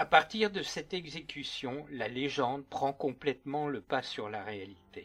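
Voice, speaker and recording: At a fairly slow pace, a man with a fairly high pitch speaks in a solemn, dramatic tone with lively intonation. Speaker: true crime narrator and author. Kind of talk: scripted narration. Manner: solemn, dramatic, measured storytelling tone.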